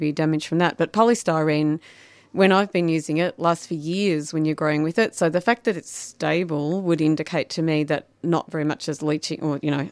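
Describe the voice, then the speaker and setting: In an Australian accent, the speaker moves along at a fairly quick pace. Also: woman, very clean recording, silent background. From Shepparton, Victoria, Australia. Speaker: garden designer and writer. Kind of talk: casual chat. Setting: studio. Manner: fast talker.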